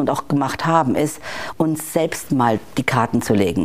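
With lively intonation, a woman speaks fairly quickly while noticeable background noise carries on. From Bavaria, Germany. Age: 50s. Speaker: corporate digital executive. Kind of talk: interview. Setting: in-person recording in Hamburg.

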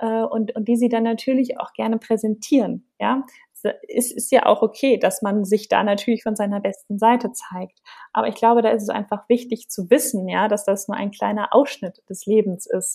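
A woman speaks with a dark, mellow tone, somewhat breathy, and her intonation stays fairly even. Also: moderate pace, very clean recording, silent background. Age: 30s. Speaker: copywriter and confidence coach. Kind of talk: interview. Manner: hesitant with many fillers.

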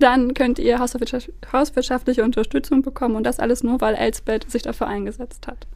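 With a high pitch and fairly even intonation, a woman talks at a moderate pace with hardly any pauses. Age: 20s. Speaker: head of a nonprofit association. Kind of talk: interview.

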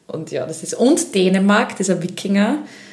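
Speaking at a moderate pace and a medium pitch, a woman has a slight Styrian accent. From Austria, Upper Styria (Krieglach). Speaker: Eurovision fan club event organiser. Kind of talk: casual chat.

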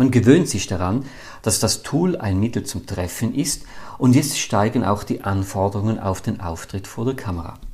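A man talks at a moderate pace in a medium-pitched voice with ordinary pitch variation. His tone is dark and mellow, and somewhat breathy. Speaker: podcast host, business comedian. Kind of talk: scripted monologue; casual interview chat.

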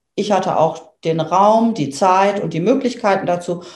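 In a room with audible echo, a woman speaks with ordinary pitch variation. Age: 50s. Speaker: dog owner. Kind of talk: interview. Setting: in person, same room. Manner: hesitant, many fillers.

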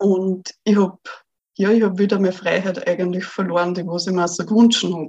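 The intonation is fairly even, the pace moderate. It is a plain, everyday voice. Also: woman, medium pitch for a woman. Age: 20s. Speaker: virtual assistant. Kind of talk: interview.

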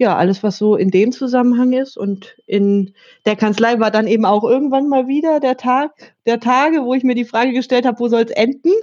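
A woman has a plain, everyday voice with ordinary pitch variation. She speaks at a fairly quick pace. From northern Germany, Hannover. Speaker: tax software company representative. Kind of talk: interview.

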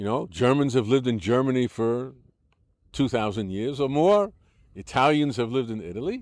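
With an American accent, a man speaks in an ordinary speaking voice at medium pitch and a moderate pace, his intonation lively. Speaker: settler interviewee. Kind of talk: interview.

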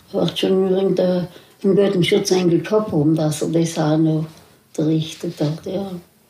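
Over noticeable background noise, a woman speaks fairly slowly in a fairly low pitch with monotone, flat intonation. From South Tyrol, Italy. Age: 80s+. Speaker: contemporary witness. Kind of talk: oral history interview. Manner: halting.

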